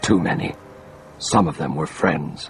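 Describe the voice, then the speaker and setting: Using a put-on character voice, a man talks at a moderate pace with clear background noise. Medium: read story.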